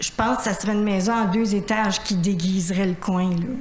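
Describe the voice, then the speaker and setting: With ordinary pitch variation, a woman speaks amid noticeable background noise and audible room echo. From Quebec, Saint-Philippe. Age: 60s. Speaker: citizen at public question period. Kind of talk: public question to council. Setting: city council meeting. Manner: hesitant, informal.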